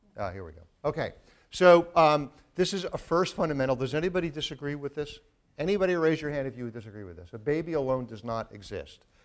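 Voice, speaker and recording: The speech runs at a very fast pace with lively intonation. Its loudness swings widely. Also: man, fairly high pitch for a man. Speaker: neuroscience professor. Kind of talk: lecture. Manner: halting.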